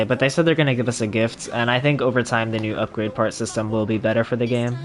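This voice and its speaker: Music plays in the background as a man talks at a very fast pace. His pitch is medium and his intonation fairly even. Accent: American. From Florida. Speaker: gaming streamer. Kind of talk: casual gameplay livestream commentary. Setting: home livestream on console.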